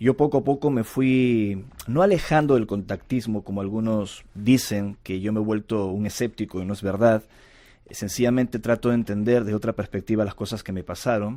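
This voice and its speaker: In a Lima accent, a dark, mellow voice with ordinary pitch variation comes through a very clean recording with a silent background. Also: man, fairly low pitch for a man, moderate pace. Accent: Lima Peruvian Spanish. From Peru, Lima. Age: 40s. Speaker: UFO contactee and researcher. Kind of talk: interview.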